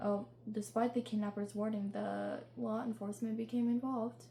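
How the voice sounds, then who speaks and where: With noticeable noise around her, a woman speaks at a moderate speed. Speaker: true crime podcast host. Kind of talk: true crime storytelling. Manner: halting, frequent self-corrections.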